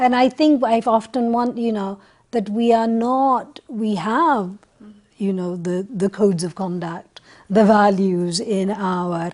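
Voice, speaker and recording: A woman speaks with a Punjabi accent at a medium pitch. Her pace is very slow and her pitch varies in an ordinary way. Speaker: panelist. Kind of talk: panel discussion.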